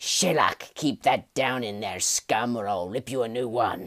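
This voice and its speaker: A put-on character voice sits at a low-to-middle pitch. The recording is very clean, with a silent background. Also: moderate pace. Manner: menacing, threatening.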